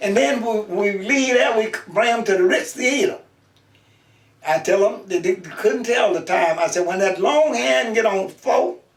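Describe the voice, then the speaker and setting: A man with a high pitch talks at a fairly slow pace, his intonation lively. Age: 90s. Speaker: elderly interviewee. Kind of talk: oral history interview. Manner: halting.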